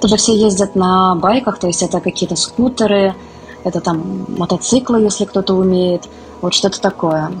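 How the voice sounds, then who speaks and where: A woman talks at a moderate pace with a medium pitch and fairly even intonation. Her loudness stays very even, and there is noticeable background noise. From Moscow, Russia. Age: 30s. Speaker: literary editor. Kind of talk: interview.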